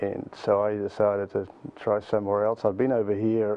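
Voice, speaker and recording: Noticeable background noise sits behind the voice. The delivery is monotone and flat at a moderate pace. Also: man. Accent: New Zealand. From New Zealand, Auckland. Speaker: nonprofit youth mentoring leader. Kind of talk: interview.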